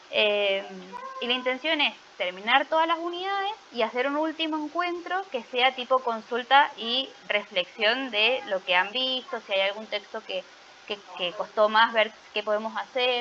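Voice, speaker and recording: A woman speaks at a fairly slow pace in a high voice with very wide pitch swings, over noticeable background noise. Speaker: teacher. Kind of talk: online class lecture.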